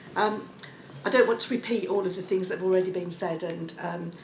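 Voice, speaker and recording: A woman speaks at a very fast pace, her fairly low pitch showing ordinary variation. Audible room echo and noticeable background noise fill the recording. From Birmingham, England. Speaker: local government executive, panel speaker. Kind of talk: panel discussion speech. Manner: hesitant, with frequent ums.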